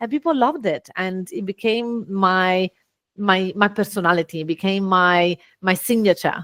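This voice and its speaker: A woman with an Italian accent speaks at a moderate pace and medium pitch with ordinary pitch variation. The recording is very clean, with a silent background and a dry, close sound with no echo. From Italy. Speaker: business owner and speaker. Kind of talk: podcast interview. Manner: animated.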